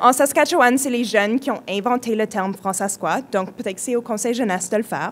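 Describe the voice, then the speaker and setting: There is noticeable background noise behind this woman's voice. She talks at a moderate pace with a fairly high pitch and ordinary pitch variation. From British Columbia, Canada (francophone, Quebecois parents). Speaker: youth community leader, speaker. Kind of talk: conference talk.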